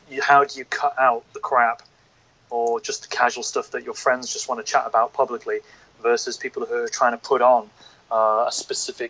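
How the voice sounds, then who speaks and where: A man with a northern English accent talks at a fairly quick pace. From northern England. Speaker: podcast guest. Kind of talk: casual chat.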